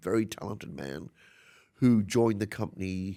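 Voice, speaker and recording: A man speaks with a New Zealand accent and a fairly low pitch. His pace is fairly slow, with ordinary pitch variation. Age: 60s. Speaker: fashion designer. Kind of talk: interview. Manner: animated.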